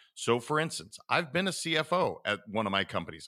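Animated and enthusiastic, a man with an American accent talks at a fairly quick pace on a very clean recording with a silent background. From Montana. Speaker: business coach and author. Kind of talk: casual interview chat. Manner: animated, enthusiastic.

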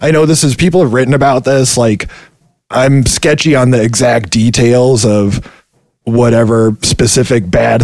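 A plain, everyday voice carries ordinary pitch variation. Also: man. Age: 30s. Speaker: video game QA worker. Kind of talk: interview.

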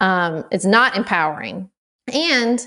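Over a quiet background, a woman speaks with an American accent and lively intonation. Hers is a plain, everyday voice. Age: 30s. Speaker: podcast host. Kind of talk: interview.

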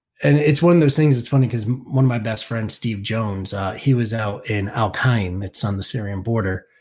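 This man talks at a fairly quick pace with hardly any pauses. His voice is somewhat breathy. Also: medium pitch for a man, ordinary pitch variation. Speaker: military veteran. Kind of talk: interview. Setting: remote call. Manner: even, never raises voice; calm, understated.

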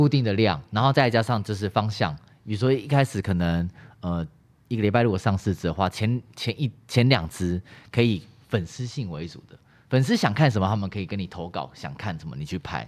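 An ordinary speaking voice from a man, fairly low and fairly quick, with lively intonation and big swings in loudness. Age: young. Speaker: actor and YouTuber. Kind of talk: casual chat.

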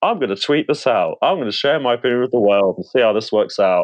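A man speaks with a British accent. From UK. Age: 20s. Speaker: accountant, caller.

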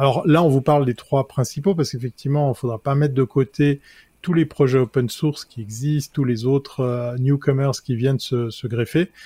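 A man with a medium-pitched, somewhat breathy voice and a dark, mellow tone speaks at a moderate pace with fairly even intonation, the sound dry and close with no echo. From Switzerland. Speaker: tech columnist, advertising awards presenter. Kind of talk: casual chat.

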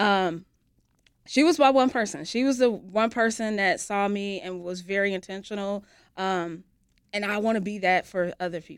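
A woman with a normal speaking voice talks in an American accent at a medium pitch. Her pace is moderate, her pitch variation ordinary, and her loudness swings widely. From US Midwest. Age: 40s. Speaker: youth program director. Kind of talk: interview.

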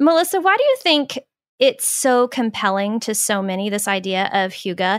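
A normal speaking voice with an American accent at a moderate pace. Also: woman. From US Southwest (Phoenix, Arizona). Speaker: podcast host and author. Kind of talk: casual chat.

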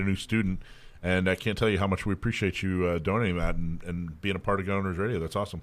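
On a very clean recording with a silent background, a man with an American accent talks at a very fast pace. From US South. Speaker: radio host. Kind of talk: casual radio talk. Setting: radio studio. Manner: slurs words together.

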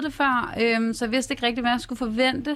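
A high-pitched woman at a moderate pace, her intonation fairly even, on a very clean recording with a silent background. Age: 20s. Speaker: hairdresser and reality TV participant. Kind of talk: radio interview. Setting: radio studio.

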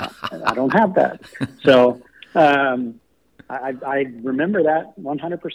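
A man with an American accent speaks very slowly at a fairly high pitch. He leaves long, frequent pauses, and his pitch moves in an ordinary way. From Texas, College Station. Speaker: college golf coach. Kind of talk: interview.

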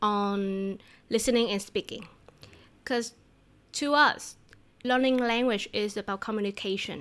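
Very clean recording with a silent background of a woman at a fairly high pitch, fairly slow pace, and ordinary pitch variation. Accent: Vietnamese. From southern Vietnam. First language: Vietnamese. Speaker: language teacher. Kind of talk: casual interview. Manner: laughs often.

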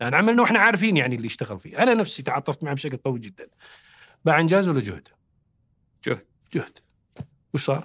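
This man's pitch swings very widely as he talks. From Saudi Arabia. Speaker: government communication expert. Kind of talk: podcast interview. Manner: animated.

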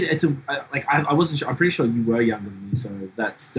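Over noticeable background noise, a man speaks very fast at a medium pitch with lively intonation. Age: 40s. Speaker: podcast host. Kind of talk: casual chat. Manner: animated.

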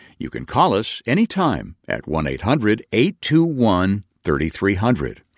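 On a very clean recording with a silent background and a dry, close sound with no echo, a man's voice moves through very wide pitch swings. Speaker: radio announcer. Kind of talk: scripted narration. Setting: studio.

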